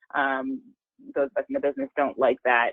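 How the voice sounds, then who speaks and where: The woman talks at a fairly quick pace. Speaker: employment lawyer. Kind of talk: webinar presentation. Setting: webinar.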